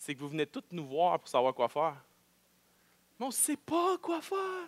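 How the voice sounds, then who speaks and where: Dry, close sound without echo from a man speaking at a moderate pace. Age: 30s. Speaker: pastor. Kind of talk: sermon. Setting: church.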